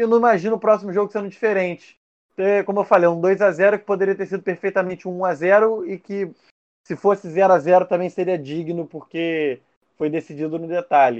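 A man talks fairly quickly in a high voice, and his pitch shows ordinary variation. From Rio de Janeiro state, Barra Mansa. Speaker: football pundit. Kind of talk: casual chat.

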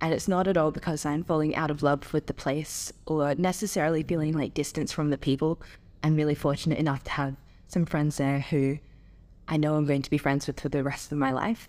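Someone with an Australian accent speaks fairly quickly with fairly even intonation on a very clean recording with a silent background. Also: woman, very deep, low pitch for a woman. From Adelaide, South Australia. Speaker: university student. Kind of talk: interview, personal storytelling.

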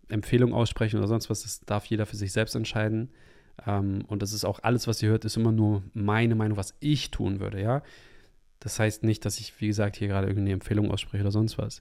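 Recorded very cleanly against a silent background, a man with an ordinary speaking voice and fairly low pitch talks at a fairly quick pace with fairly even intonation. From Hamburg, northern Germany. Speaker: podcast host and ceremony facilitator. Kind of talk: solo podcast monologue.

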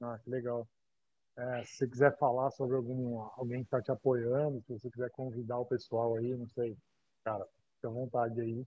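A moderate pace with monotone, flat intonation, in a Brazilian accent. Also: man, medium pitch for a man. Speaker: podcast host. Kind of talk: interview. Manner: casual.

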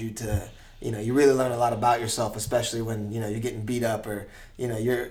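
A man with an American accent and a monotone, flat intonation. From US East Coast. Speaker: podcast host. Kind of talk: casual interview.

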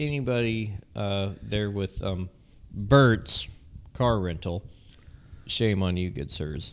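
The speaker has an American accent and talks at a very slow pace. Pitch variation is ordinary. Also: man. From Southern California. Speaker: podcast co-host. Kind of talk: casual chat.

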